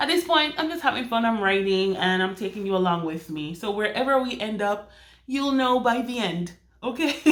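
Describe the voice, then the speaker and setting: A woman with a Jamaican accent, fairly high-pitched, with very wide pitch swings at a moderate pace. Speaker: romance author and vlogger. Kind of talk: casual vlog. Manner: chatty, with many fillers and restarts.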